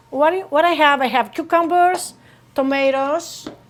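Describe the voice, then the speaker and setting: A woman speaks with a Greek accent. Her pace is very slow. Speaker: home cook. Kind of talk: cooking tutorial to camera.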